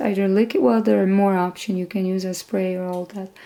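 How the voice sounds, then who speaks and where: A woman with a non-native accent speaks in a dark, mellow tone. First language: not English. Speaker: sewing instructor. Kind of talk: tutorial. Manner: casual, conversational.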